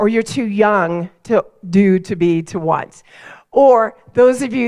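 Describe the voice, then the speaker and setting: Speaking with an American accent, a woman keeps a fairly slow pace. Her tone is animated, with ordinary pitch variation. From Colorado. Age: 50s. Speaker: keynote speaker. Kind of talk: keynote talk.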